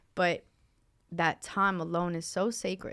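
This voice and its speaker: In a very clean recording with a silent background, a woman speaks in a flat monotone at a fairly low pitch. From Ecuador. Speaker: painter and poet. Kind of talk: podcast interview answer.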